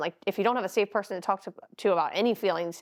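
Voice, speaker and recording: The woman's speech moves at a very fast pace. Her medium pitch shows ordinary variation. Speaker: podcast co-host and life coach. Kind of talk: casual chat. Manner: talkative, interrupting.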